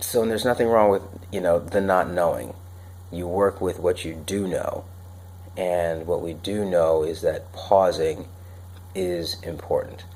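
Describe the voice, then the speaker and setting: Very deep and low, a man's voice moves at a fairly slow pace in a flat monotone, broken by long, frequent pauses. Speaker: personal development show host. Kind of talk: unscripted solo talk. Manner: casual with many fillers.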